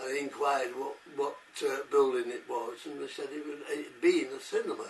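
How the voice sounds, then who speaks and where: A man's voice at a fairly slow pace, with noticeable background noise. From northern England, Salford. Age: 80s+. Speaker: war veteran. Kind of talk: interview, personal recollection. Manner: halting, many hesitations.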